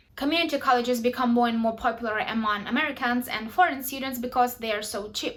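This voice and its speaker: A woman with a Ukrainian accent, high in pitch, at a very fast pace with hardly any pauses and fairly even intonation. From Ukraine. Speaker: YouTuber. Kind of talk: tutorial.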